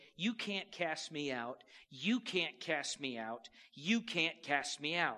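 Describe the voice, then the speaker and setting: A man puts on a nasal character voice. It sits fairly high and moves at a fairly slow pace. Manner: whining, repetitive.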